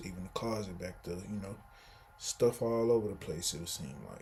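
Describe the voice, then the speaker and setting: The voice has an American accent and is somewhat breathy. Pitch variation is ordinary. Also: man. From Texas, Houston. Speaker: vlogger. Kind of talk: casual vlog monologue. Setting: indoors at home, sitting in a room.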